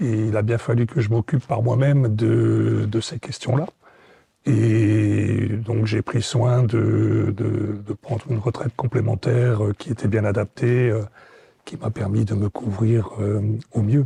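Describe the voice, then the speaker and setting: Keeping a fairly even intonation, a man speaks at medium pitch and a very slow pace. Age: 60s. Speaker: retiree, former business owner. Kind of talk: interview. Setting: studio set. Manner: hesitant, many fillers.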